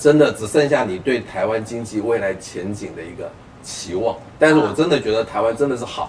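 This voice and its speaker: Delivery is fairly quick with lively intonation and big swings in loudness. Background noise is noticeable. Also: man, medium pitch for a man. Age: 50s. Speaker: personal finance author. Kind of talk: casual chat.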